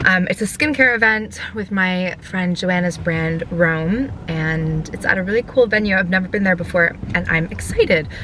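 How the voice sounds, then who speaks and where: Against noticeable background noise, a woman talks in an animated tone at a moderate pace with hardly any pauses. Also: medium pitch for a woman, ordinary pitch variation. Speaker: lifestyle vlogger. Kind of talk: casual vlog talk to camera. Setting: podcast studio; outdoors and at an event. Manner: chatty, animated.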